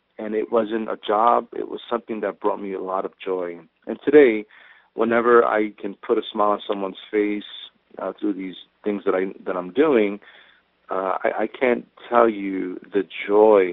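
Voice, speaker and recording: At a moderate pace, a man speaks with a New York accent. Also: fairly even intonation. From New York, Brooklyn (Sunset Park). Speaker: actor, police officer and Marine veteran. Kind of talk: interview. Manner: halting, with many repeated words.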